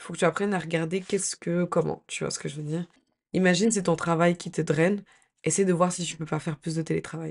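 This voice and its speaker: Against a quiet background, a woman with a fairly low pitch speaks in a monotone, flat way, her loudness swinging widely. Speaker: lifestyle YouTuber. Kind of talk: advice vlog. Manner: hesitant, many fillers.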